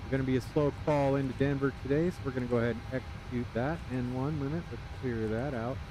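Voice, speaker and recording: Over noticeable background noise, a man with a medium pitch talks very fast with hardly any pauses and ordinary pitch variation. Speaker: flight sim streamer. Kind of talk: live gameplay commentary.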